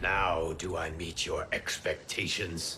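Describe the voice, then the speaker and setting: Putting on a cartoonish character voice, a man speaks fairly slowly at a very deep, low pitch, with clear background noise behind him. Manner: stern, measured.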